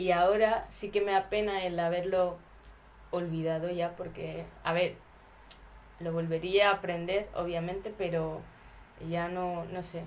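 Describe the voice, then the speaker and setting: Speaking at a fairly slow pace, a woman uses a fairly low pitch and monotone, flat intonation, with long, frequent pauses. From India (Gujarat), raised in Basque Country from 13. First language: Gujarati (speaking Spanish). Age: 20s. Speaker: documentary subject. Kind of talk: casual interview. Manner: hesitant.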